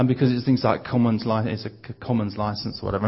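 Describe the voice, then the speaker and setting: A man speaks in a London accent. His voice is somewhat breathy. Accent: southern English (London). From southeast London (Bromley). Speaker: visiting preacher. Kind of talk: sermon.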